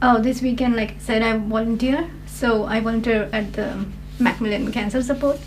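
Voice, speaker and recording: Her voice sits fairly high for a woman, with fairly even intonation at a moderate pace. Noticeable background noise and audible room echo surround the woman. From India. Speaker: IELTS test candidate, student. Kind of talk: mock speaking exam interview. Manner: hesitant, many fillers.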